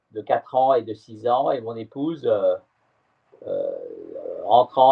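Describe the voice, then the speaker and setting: A man speaking at a very slow pace. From France, Brittany (Morbihan). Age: 60s. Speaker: sailor. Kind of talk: interview. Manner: halting, many hesitations.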